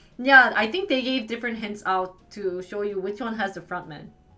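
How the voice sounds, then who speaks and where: With music in the background, a woman speaks in an animated tone at a fairly high pitch and moderate pace, her intonation lively. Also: big swings in loudness. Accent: American. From US Midwest, Wisconsin. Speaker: live streamer. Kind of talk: casual chat reacting to live chat. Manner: animated, chatty.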